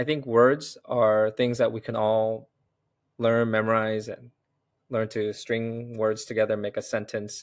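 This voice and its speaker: In a very clean recording with a silent background, a man with an American accent talks at a fairly slow pace, medium in pitch and monotone, with flat intonation. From United States, Korean immigrant family. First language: Korean. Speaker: serial entrepreneur and investor. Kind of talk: interview conversation.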